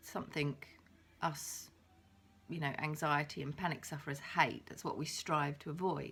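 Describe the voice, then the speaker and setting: A woman with an English accent and a very deep, low pitch. Her intonation stays fairly even. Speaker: vlogger with agoraphobia. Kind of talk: video diary. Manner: casual, halting.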